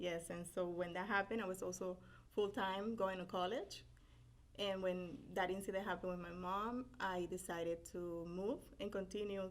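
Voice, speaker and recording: This woman speaks at a medium pitch and a moderate pace. She has a Spanish accent and fairly even intonation. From Puerto Rico (Carolina, near San Juan). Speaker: business owner, paralegal. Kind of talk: interview.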